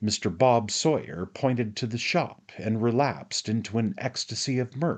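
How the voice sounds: A reading voice that sounds natural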